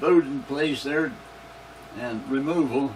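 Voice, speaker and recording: With an American accent, a man talks at a very slow pace and ordinary pitch variation amid noticeable background noise. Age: 80s+. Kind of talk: interview answer. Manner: reminiscing, rambling.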